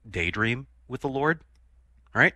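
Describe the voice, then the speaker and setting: Over a quiet background, a speaker with an American accent talks at a moderate pace in a bright, sharp tone. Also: man. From US Midwest, Chicago. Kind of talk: radio call-in conversation.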